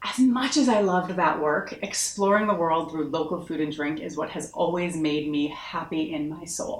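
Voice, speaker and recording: Over noticeable background noise, a woman with an American accent talks at a moderate pace in a fairly low, animated voice with ordinary pitch variation and hardly any pauses. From US Northeast, Massachusetts. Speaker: marketing consultant. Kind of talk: online course introduction.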